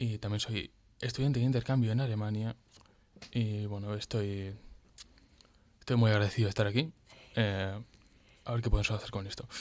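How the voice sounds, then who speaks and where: A man with a fairly low pitch talks at a fairly quick pace with fairly even intonation. He leaves long, frequent pauses. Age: 20s. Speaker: engineering student. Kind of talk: radio interview. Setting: radio studio. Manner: halting.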